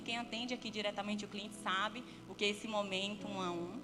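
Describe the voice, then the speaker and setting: A moderate pace in a northeastern Brazilian accent, with audible room echo and music in the background. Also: woman. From Brazilian Northeast. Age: 30s. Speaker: guest speaker, entrepreneur and business consultant. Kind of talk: church talk with personal testimony.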